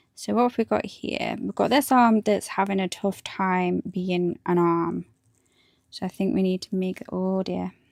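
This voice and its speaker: Mumbling at a fairly slow pace, a woman with a medium pitch and fairly even intonation comes through a dry, close sound with no echo, on a very clean recording with a silent background. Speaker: hobby streamer, miniature painter. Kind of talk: casual livestream chat while building models.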